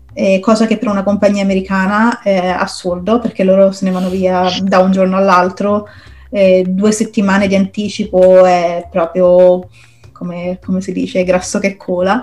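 A woman's medium-pitched, monotone, flat delivery at a moderate pace, over noticeable background noise. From Rome, Italy. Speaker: product designer. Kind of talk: interview.

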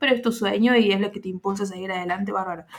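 A woman's voice with ordinary pitch variation. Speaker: podcast host. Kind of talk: casual chat.

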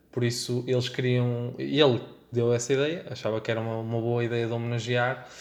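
A man's medium-pitched voice at a fairly quick pace, with audible room echo. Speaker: podcast producer and designer. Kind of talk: casual chat.

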